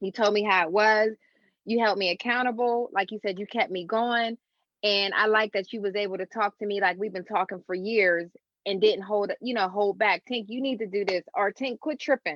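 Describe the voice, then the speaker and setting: A woman speaks with a medium pitch. Her intonation stays fairly even. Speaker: author. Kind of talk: casual chat. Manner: fast.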